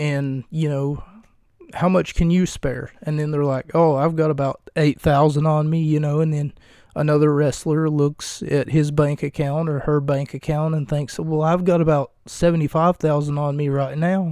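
On a very clean recording with a silent background, a man speaks at a moderate pace. His voice is fairly high-pitched, dark and mellow, with flat, monotone intonation. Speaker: wrestling podcaster. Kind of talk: solo podcast monologue, comedic. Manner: rambling, humorous, casual.

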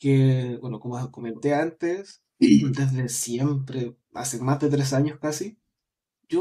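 A male voice carries this clip. It has a dark, mellow tone. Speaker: podcast panelist. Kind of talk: casual chat.

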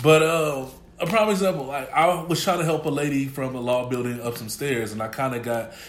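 A man speaks at a fairly quick pace in a fairly high voice, with ordinary pitch variation. The room echo is audible, and there is noticeable background noise. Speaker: college student co-host. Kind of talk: casual chat.

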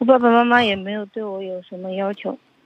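Monotone, flat intonation from a woman whose voice sits at a medium pitch. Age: 20s. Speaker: caller on a relationship advice show. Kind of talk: phone-in conversation.

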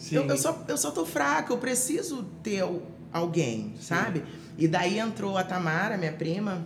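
Amid noticeable background noise and audible room echo, a woman speaks at a fairly slow pace and a medium pitch. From Rio de Janeiro, Brazil. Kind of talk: testimony. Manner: halting, many fillers and repetitions.

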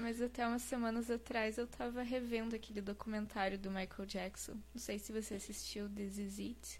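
Speaking at a moderate pace, a woman uses a fairly high pitch, a somewhat breathy quality and fairly even intonation. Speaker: singer and cosplayer. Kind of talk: casual interview.

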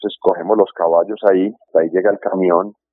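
A man is speaking here. His pace is moderate. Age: 50s. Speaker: birdwatching and horseback tourism guide. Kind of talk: interview. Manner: halting.

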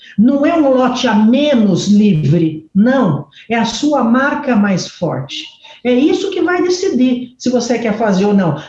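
A woman's high voice with very wide pitch swings and very even loudness, at a very slow pace over noticeable background noise. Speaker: urban development consultant. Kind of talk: interview. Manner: animated.

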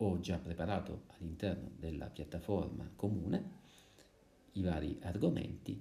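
With a dark, mellow tone, a man speaks at a very deep, low pitch with ordinary pitch variation. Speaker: music teacher. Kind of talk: lesson. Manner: hesitant, with fillers.

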